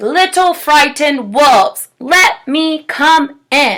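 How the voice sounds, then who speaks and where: Using a put-on character voice, a woman growls at a high pitch. She speaks at a very slow pace. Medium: read story. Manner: grunting, menacing.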